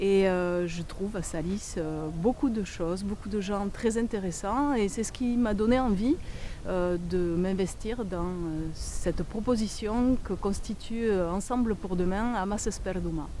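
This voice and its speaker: Very slow woman's voice at medium pitch, with audible room echo. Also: ordinary pitch variation. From southwest France, Béarn (Gave de Pau valley). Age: 60s. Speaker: local election candidate. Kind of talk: self-introduction. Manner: halting, many hesitations.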